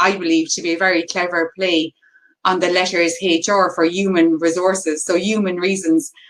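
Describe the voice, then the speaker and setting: A woman in a Cork accent at a moderate pace. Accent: Cork Irish. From Ireland, County Cork. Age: 40s. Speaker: HR consultant. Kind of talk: webinar presentation. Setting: video call. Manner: animated.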